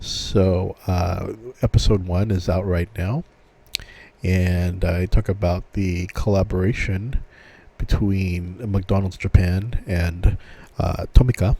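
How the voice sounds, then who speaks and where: This man's voice is very deep and low, dark and mellow in tone, and somewhat breathy. He speaks at a very slow pace with monotone, flat intonation. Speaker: podcast host. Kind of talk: casual solo podcast. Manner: hesitant, many fillers.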